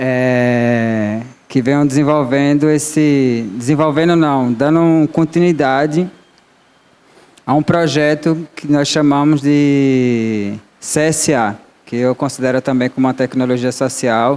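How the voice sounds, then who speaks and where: Speaking at a very slow pace, a man with a fairly high pitch keeps his loudness very even and his intonation fairly even. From Guarani Kaiowá community, Mato Grosso do Sul, then Bahia backcountry. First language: Guarani (Tupi family) (speaking Portuguese). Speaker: agroecological farmer and panelist. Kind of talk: panel talk. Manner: halting, with self-corrections.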